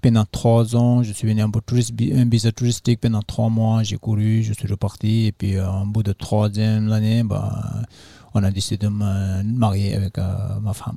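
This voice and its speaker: Dry and close with no echo, the recording has a man speaking at a moderate pace with a fairly low pitch and monotone, flat intonation. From Nepal, Solukhumbu (Everest region). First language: Sherpa (speaking French). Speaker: trail runner and trek organizer. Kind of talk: interview. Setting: festival. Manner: halting.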